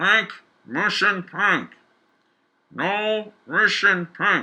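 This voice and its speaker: In a put-on character voice, the speaker projects loudly while moving at a very slow pace. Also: man, high pitch for a man. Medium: read story. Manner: vague official phrases, hard to understand.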